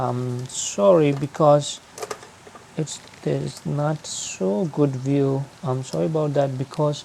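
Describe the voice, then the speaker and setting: Against noticeable background noise, someone with a non-native accent speaks at a very slow pace. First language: not English. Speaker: aquarium hobbyist youtuber. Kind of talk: tutorial. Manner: hesitant with fillers.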